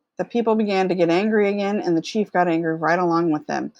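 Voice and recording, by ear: Natural-voiced reading aloud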